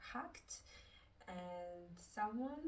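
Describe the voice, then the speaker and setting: A woman at a medium pitch with a Russian accent, speaking at a very slow pace with lively intonation, amid noticeable background noise and audible room echo. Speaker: book reviewer. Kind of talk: casual book review. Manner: halting, with fillers.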